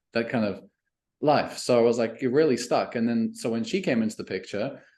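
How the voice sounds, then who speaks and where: Here a man talks at a fairly quick pace. His voice sits at a medium pitch. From South Africa and Canada, raised mostly in Canada from teens. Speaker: email marketing coach. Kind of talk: podcast interview.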